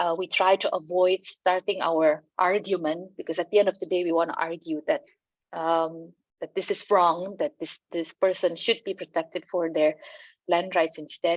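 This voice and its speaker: With an Indonesian accent, a woman speaks at a fairly low pitch in a monotone, flat intonation. The sound is dry and close, with no echo. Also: moderate pace. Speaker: land rights organization communicator. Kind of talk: panel discussion. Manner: halting, many fillers.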